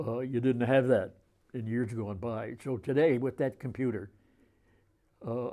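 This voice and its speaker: A man with an American accent and a dark, mellow tone, speaking fairly slowly with fairly even intonation and long, frequent pauses. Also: medium pitch for a man. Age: 80s+. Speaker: sports announcer. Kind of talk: interview answer.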